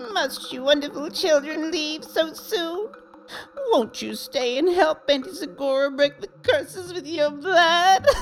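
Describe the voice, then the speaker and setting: Cackling at a high pitch, the speaker puts on a character voice. The pace is fairly slow. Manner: giddy, sinister sweetness.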